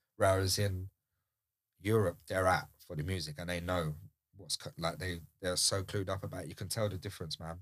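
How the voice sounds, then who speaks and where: A man with a British accent speaks at a fairly quick pace in a very deep, low voice. The recording is very clean, with a silent background. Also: fairly even intonation. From UK. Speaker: DJ and house music producer. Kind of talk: casual chat.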